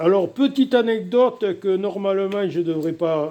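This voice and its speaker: A man's dark, mellow voice carries lively intonation. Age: 60s. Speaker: DIY scrap recycler. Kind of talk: tutorial. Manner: casual, halting with fillers.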